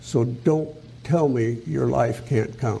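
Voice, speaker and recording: This voice has a dark, mellow tone and vocal fry, heard with audible room echo. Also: man. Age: 80s+. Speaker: preacher. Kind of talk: sermon.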